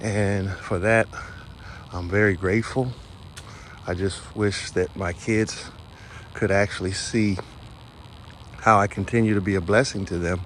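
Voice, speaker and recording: Over noticeable background noise, a man with a fairly low pitch speaks with long, frequent pauses. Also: fairly even intonation. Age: 60s. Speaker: vlogger, business owner. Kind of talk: personal monologue vlog. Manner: reflective, with hesitations.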